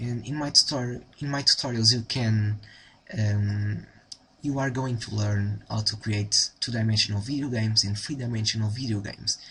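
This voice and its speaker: Against a quiet background, a man with a Portuguese accent talks in a bright, sharp tone with fairly even intonation. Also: medium pitch for a man, moderate pace. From Portugal. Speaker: programming tutor. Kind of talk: tutorial. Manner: halting, many fillers.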